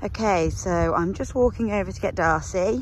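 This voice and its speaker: A woman with a British accent talks at a moderate pace. The sound is dry with no echo, with light background noise. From England. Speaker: horse rider and vlogger. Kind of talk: casual vlog, talking to horse. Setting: outdoors with horses. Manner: animated, chatty. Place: farm machine. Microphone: phone near.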